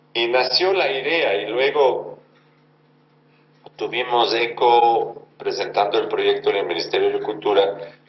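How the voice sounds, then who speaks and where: Audible room echo and noticeable background noise surround the recording. A man speaks at a fairly slow pace. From Germany. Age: 60s. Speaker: actor and theatre director. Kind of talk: interview.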